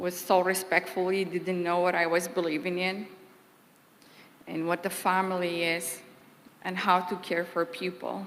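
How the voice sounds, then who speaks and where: A woman's voice in a Kurdish accent, fairly low in pitch, monotone and flat, with long, frequent pauses. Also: moderate pace. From Kurdistan. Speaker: former employee giving eulogy. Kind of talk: eulogy.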